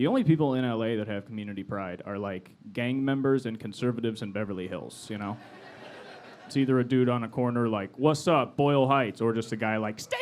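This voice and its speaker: The speaker talks at a fairly quick pace with an American accent. It is a normal speaking voice. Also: man. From Los Angeles, US West Coast. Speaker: stand-up comedian. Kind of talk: stand-up. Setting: stage with audience.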